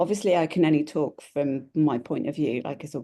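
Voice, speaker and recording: A woman with a British accent speaks in a very deep, low pitch, her tone dark and mellow with vocal fry. The background is quiet. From Britain. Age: 40s. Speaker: travel blogger. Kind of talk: casual chat.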